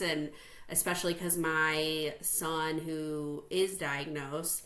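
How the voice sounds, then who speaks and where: Against noticeable background noise, the speaker has a slight Chicago accent and fairly even intonation. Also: woman. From US Midwest, Chicago North Shore suburbs. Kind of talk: interview.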